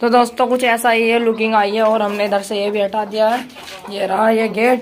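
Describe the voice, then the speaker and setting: A woman keeps a moderate pace while noticeable background noise carries on behind her. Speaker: poultry keeper vlogger. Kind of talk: casual vlog chat. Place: farm machine. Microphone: phone near.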